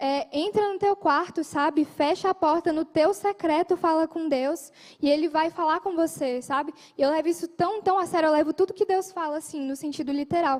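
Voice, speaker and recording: A woman speaks at a moderate pace with fairly even intonation. Her pitch is extremely high. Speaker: lay preacher. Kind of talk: sermon.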